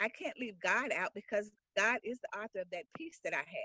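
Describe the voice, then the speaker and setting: Fairly quick, fairly high female voice, bright and sharp in tone, dry and close with no echo. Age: 60s. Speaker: author and speaker interviewed on a podcast. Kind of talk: interview testimony. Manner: halting, repeats words.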